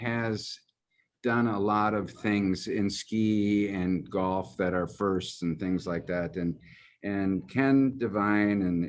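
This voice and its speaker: In a Midwestern US accent, a man with a very deep, low pitch speaks at a very slow pace on a very clean recording with a silent background. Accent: US Midwest. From Germany, raised in Michigan from age four. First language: German. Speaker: golf executive. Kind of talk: interview. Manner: halting, many fillers.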